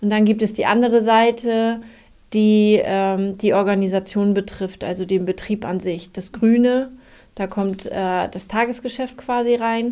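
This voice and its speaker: Her tone dark and mellow, a woman talks at a fairly slow pace with a fairly high pitch and fairly even intonation. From northern Germany, Schleswig-Holstein. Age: 30s. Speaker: office service department head. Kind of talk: casual interview.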